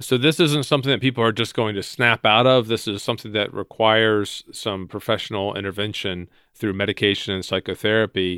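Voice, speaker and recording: Pitched fairly low, a man talks in an ordinary speaking voice. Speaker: podcast host. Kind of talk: interview.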